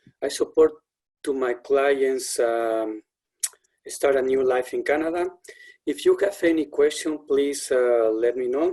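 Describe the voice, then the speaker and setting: Fairly high in pitch with a dark, mellow tone, a man with a Spanish accent speaks at a fairly slow pace with long, frequent pauses. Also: ordinary pitch variation. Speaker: settlement worker. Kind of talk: webinar introduction.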